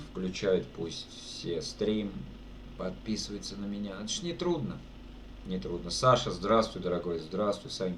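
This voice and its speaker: In a room with audible echo, a man with vocal fry and a fairly low pitch speaks at a fairly slow pace, using lively intonation and long, frequent pauses. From Russia, Saratov region. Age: 30s. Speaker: streamer and amateur guitarist. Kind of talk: casual live stream chat. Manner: casual, colloquial.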